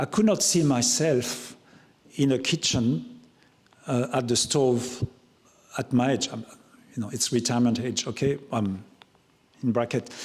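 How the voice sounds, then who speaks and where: A man speaks fairly slowly, somewhat breathy. His pitch varies in an ordinary way, broken by long, frequent pauses. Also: medium pitch for a man. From France, Loire Valley. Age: 60s. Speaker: chef. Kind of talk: talk Q&A with audience. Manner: halting, many repetitions.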